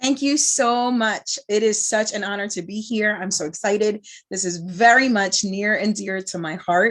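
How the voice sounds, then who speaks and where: A woman with a Bronx accent talks at a moderate pace. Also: medium pitch for a woman, ordinary pitch variation. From New York (Bronx). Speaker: moderator, speaker and trainer. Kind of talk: panel moderation.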